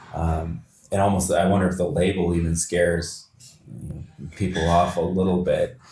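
With a Canadian accent and a very deep, low pitch, a man speaks with fairly even intonation, very even loudness, and long, frequent pauses over noticeable background noise. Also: moderate pace. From London, Ontario. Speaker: podcast host. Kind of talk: interview. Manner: halting, many fillers.

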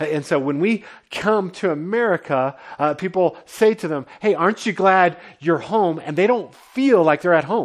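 High-pitched male speech, ordinary in its pitch variation. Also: moderate pace. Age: 40s. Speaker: pastor. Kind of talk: sermon. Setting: home basement.

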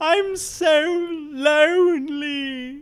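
The speaker puts on a character voice with fairly even intonation. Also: woman, high pitch for a woman. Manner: tearful, sobbing, vulnerable.

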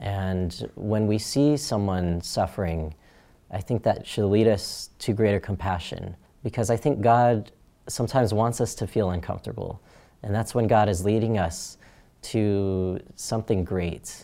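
A man speaks at a fairly slow pace with an American accent, his tone dark and mellow. His pitch is fairly low with ordinary variation, on a very clean recording with a silent background. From US Southwest, Phoenix, Arizona. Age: 20s. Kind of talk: personal testimony interview. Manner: earnest, with frequent fillers.

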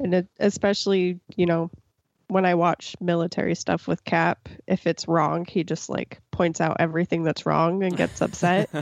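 With a fairly low pitch and flat, monotone intonation, a woman speaks at a moderate pace and very even loudness in a dry, close recording with no echo. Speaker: podcast co-host.

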